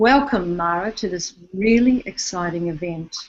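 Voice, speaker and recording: A woman with an Australian accent. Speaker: online summit host, interviewer. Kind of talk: online interview. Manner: halting, repeats words.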